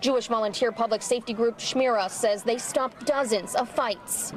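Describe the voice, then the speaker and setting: A woman with a fairly high pitch speaks at a moderate pace, with fairly even intonation and very even loudness. Noticeable background noise is present. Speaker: TV news reporter. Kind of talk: TV news report.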